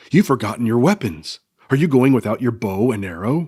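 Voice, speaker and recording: A man speaks at a fairly quick pace in a put-on character voice of medium pitch, on a very clean recording with a silent background. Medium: read story.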